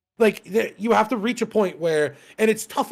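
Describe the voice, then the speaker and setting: A man with an animated tone on a very clean recording with a silent background. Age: 30s. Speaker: podcast co-host. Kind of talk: casual chat.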